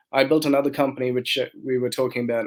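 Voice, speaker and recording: A man's very fast speech in an Australian accent, at a medium pitch. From Australia, migrated from India at 10. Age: 40s. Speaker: entrepreneur. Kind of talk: podcast interview.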